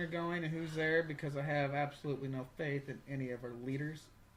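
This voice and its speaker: Speaking at a fairly quick pace, a man talks with a fairly high pitch. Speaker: podcast host. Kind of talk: casual chat. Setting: home kitchen. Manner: loud.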